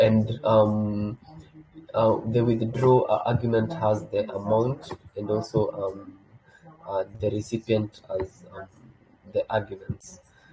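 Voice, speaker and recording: A man's fairly low voice over noticeable background noise, very slow, with fairly even intonation and long, frequent pauses. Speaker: developer relations presenter. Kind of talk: technical tutorial. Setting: video call. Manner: halting, many fillers.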